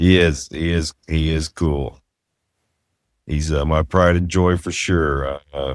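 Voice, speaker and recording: At a very slow pace with long, frequent pauses, a man with a Southern US accent speaks in a very deep, low voice with fairly even intonation, captured in a very clean recording with a silent background and a dry, close sound with no echo. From US South. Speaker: podcast host. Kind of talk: casual chat.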